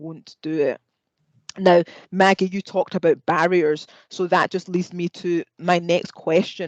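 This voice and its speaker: With a Scottish accent, a woman speaks at a moderate pace in a fairly low pitch, her intonation monotone and flat, in a dry, close sound with no echo. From Scotland. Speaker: podiatry lecturer and panel moderator. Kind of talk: panel discussion.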